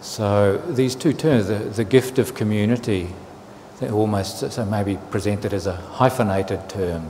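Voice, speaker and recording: Speaking with a New Zealand accent, a man keeps a moderate pace. His pitch is fairly low. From New Zealand, Auckland. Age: 60s. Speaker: Buddhist monk. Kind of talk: dharma talk. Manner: halting, with fillers and repetitions.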